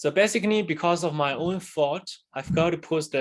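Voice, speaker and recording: The speaker is a man whose pitch varies in an ordinary way. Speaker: university lecturer. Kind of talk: lecture. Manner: halting.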